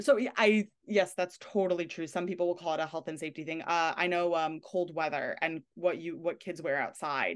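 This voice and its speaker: A woman with a New York accent, fairly low in pitch and fairly quick, with fairly even intonation. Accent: New York area American. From New York / New Jersey area. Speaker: consent educator. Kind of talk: interview conversation.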